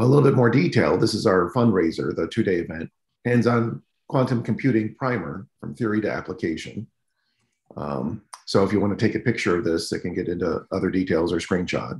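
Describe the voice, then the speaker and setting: A man speaks at a fairly quick pace with lively intonation and a fairly low, somewhat breathy voice. The room echo is audible, though the background stays quiet. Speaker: meetup organizer introducing speaker. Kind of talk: announcements and introduction. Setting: video call. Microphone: video call.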